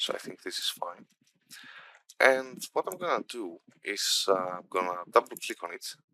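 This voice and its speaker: A man with a non-native accent talks at a moderate pace, his loudness swinging widely, with long, frequent pauses in a dry, close recording that has no echo. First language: not English. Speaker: game development instructor. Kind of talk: tutorial. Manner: halting, many fillers.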